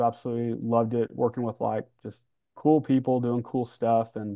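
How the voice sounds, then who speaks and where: Against a quiet background, a speaker with an American accent talks at a moderate pace with monotone, flat intonation. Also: man. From US Midwest (Kansas City). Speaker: head of social media; podcast guest. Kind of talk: casual interview chat. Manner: casual, laid-back. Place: home room.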